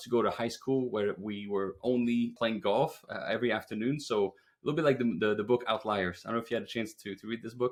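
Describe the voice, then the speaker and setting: Speaking very fast in a Quebec accent, a man uses a medium pitch and ordinary pitch variation. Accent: French Canadian accent in English. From Quebec, French Canada. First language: French. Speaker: roofing business owner. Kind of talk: podcast interview.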